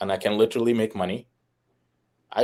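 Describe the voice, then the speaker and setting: In an Arabic accent, a man talks at a very fast pace with a dark, mellow tone. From Egypt. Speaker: fitness and life insurance entrepreneur. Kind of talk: podcast interview. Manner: animated.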